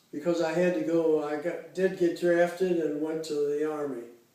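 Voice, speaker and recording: There is noticeable background noise and audible room echo. A man with an American accent talks in a fairly high pitch with monotone, flat intonation. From US Midwest, Cincinnati, Ohio. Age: 80s+. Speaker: interviewee, retiree. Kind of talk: oral history interview. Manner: halting, many fillers.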